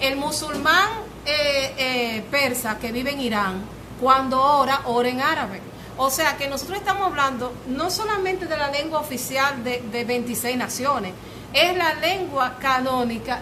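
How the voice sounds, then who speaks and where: Amid noticeable background noise and audible room echo, a woman with a Dominican accent uses a raised, projected, high voice with lively intonation at a fairly slow pace. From Dominican Republic, Santo Domingo. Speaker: lecturer on languages. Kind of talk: public talk to a cultural group. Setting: cultural center with audience. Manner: hesitant, many fillers.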